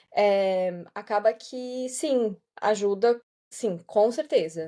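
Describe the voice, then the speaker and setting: A woman talks at a very slow pace with a fairly high pitch and a dark, mellow tone. Her intonation is lively. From southern Brazil, Santa Catarina. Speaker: voice-over artist and yoga teacher. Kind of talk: podcast interview. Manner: relaxed, conversational.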